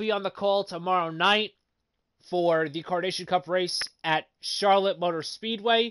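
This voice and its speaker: Against a quiet background, a man with a high voice and ordinary pitch variation is heard in a dry, close sound with no echo. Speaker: sim racing league commentator and YouTuber. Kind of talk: live stream broadcast chat. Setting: live online broadcast. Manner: stuttering, frequent repetitions; halting, many fillers.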